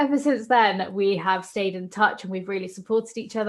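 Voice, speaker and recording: Recorded very cleanly against a silent background, a woman speaks at a medium pitch with a British accent. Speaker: podcast host. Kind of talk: casual chat.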